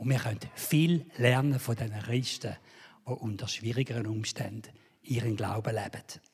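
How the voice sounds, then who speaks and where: The speaker has a Swiss accent and a somewhat breathy voice. Intonation stays fairly even. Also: man, medium pitch for a man, moderate pace. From Switzerland. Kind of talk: sermon.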